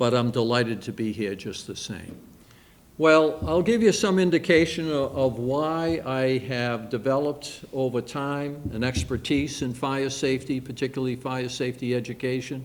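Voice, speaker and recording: A man speaks at a medium pitch with a Boston accent. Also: ordinary pitch variation, moderate pace. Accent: Boston-area New England. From Massachusetts, Quincy area. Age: 70s. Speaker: retired fire captain. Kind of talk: public talk. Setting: library event with audience. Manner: halting with frequent fillers.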